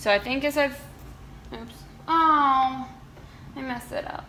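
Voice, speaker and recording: In an American accent, a woman talks at a high pitch amid noticeable background noise and audible room echo. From United States. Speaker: lifestyle vlogger. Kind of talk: casual vlog tutorial. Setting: home kitchen. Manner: chatty, informal.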